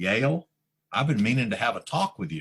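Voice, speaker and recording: A booming, put-on character voice at a fairly quick pace, with very wide pitch swings. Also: man. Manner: grand, thunderous yet conversational.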